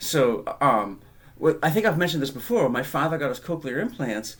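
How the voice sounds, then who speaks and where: Lively intonation from a man with a Boston accent. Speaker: podcast co-host. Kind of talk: casual chat.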